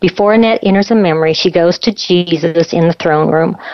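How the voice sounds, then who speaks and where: Her speech is fairly quick, with fairly even intonation. This woman has an ordinary speaking voice with fairly low pitch. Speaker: radio co-host. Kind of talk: interview conversation.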